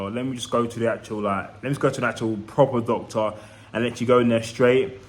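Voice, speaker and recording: With a London accent, a man at a medium pitch talks at a very fast pace using fairly even intonation. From East London, England. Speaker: vlogger. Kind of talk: casual vlog monologue.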